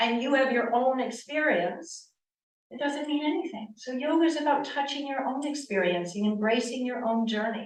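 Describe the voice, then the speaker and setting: Loud and with lively intonation, a woman with an American accent speaks at a high pitch and a moderate pace, with audible room echo. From US East Coast, Connecticut. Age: 60s. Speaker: yoga teacher. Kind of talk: lecture. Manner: animated.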